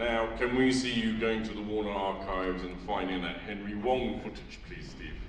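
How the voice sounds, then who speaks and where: A man speaks at a moderate pace with a fairly low pitch and fairly even intonation. Audible room echo and noticeable background noise are present. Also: hardly any pauses. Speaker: audience member. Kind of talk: audience question. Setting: cinema with audience.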